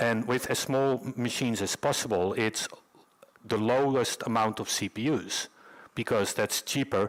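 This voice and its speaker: With a Dutch accent, a man talks at a moderate pace, using medium pitch and ordinary pitch variation. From Netherlands. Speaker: conference speaker, developer advocate. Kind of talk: conference talk. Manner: halting, many fillers.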